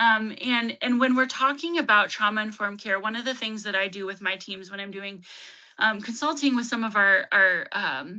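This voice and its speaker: A woman with a bright, sharp tone and a fairly high pitch speaks with big swings in loudness. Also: ordinary pitch variation. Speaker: trauma-informed care trainer and counseling consultant. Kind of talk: webinar presentation. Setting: online webinar. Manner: fast.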